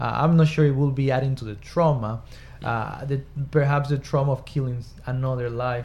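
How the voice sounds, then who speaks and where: A somewhat breathy man, medium in pitch, fairly quick and fairly even in intonation. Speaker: doctor or psychiatrist guest. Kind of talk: casual discussion. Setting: studio.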